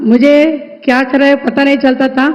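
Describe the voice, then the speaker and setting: A woman speaks in a Telugu accent at a high pitch. Her intonation is monotone and flat. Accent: Telugu-accented Hindi. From Andhra Pradesh, India. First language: Telugu (speaking Hindi). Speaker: self-help group entrepreneur. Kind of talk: conversation with the prime minister, testimony.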